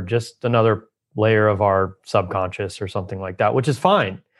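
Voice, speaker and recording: Over a quiet background, a man talks at a moderate pace with a medium pitch. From Southern California. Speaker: Ayurvedic doctor. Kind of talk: interview conversation. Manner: calm.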